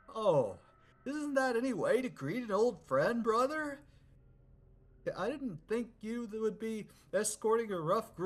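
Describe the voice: This put-on character voice sits at a fairly high pitch and moves at a fairly slow pace. Long pauses break it up frequently.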